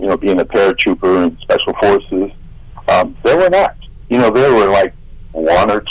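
Over noticeable background noise, a man with an American accent talks at a very even loudness. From Ohio, Columbus area. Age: 60s. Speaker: army veteran and radio host. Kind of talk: radio interview.

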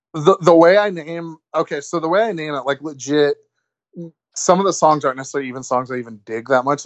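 A man speaks at a very fast pace in a fairly high pitch. His loudness swings widely. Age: 20s. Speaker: wrestling promoter. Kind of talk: casual chat.

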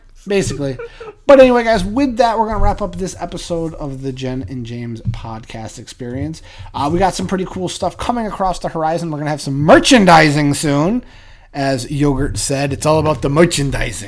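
A man with a fairly high voice speaks at a fairly quick pace and makes very wide pitch swings. Background noise is noticeable. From Massachusetts. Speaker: podcast co-host. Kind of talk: casual chat.

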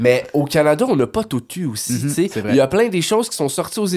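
An animated man with a Quebec accent and a fairly high pitch. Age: 30s. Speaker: toy collector. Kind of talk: casual chat.

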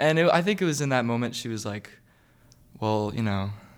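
A medium-pitched male voice, its pitch varying in an ordinary way. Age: young. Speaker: college student. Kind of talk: personal testimony.

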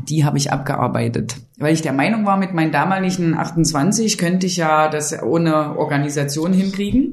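A woman talks at a moderate pace with a very deep, low pitch. Audible room echo surrounds her voice. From eastern Germany, near Dessau. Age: 30s. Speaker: city tour guide. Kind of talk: casual interview chat.

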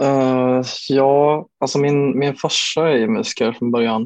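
The sound is dry and close with no echo as a man speaks at a medium pitch in a monotone, flat intonation. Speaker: bedroom pop musician. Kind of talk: casual interview. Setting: remote recording over Zoom. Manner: halting, many fillers and repeated words.

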